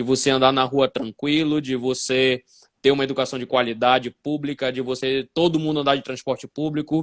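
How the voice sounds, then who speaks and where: Captured dry and close with no echo on a very clean, silent recording, a man speaks at a moderate pace in a fairly high voice with fairly even intonation. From northern Brazil, Belém do Pará (Amazon region). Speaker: physics teacher and educational assessment specialist. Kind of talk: live-stream interview. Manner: hesitant fillers, frequent 'né'.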